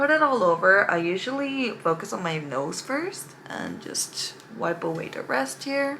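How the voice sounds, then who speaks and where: Over noticeable background noise, a woman with an American accent and a medium pitch talks at a fairly slow pace in an animated tone, her pitch swinging very widely. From California. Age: 20s. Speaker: beauty vlogger. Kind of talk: casual makeup tutorial chat.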